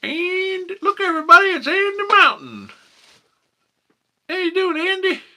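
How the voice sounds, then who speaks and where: A put-on character voice in a Southern US accent, pitched extremely high, moving at a moderate pace with long, frequent pauses. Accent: hillbilly, rural American Southern. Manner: folksy, friendly.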